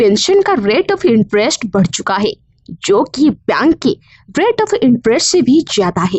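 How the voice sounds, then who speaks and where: A woman is speaking. Her pitch swings very widely. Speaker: voice over artist. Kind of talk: explainer narration.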